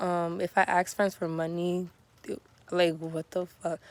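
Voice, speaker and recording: Speaking at a fairly slow pace, a woman with a fairly low pitch talks in an American accent. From Southern United States. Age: 20s. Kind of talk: casual talk to camera.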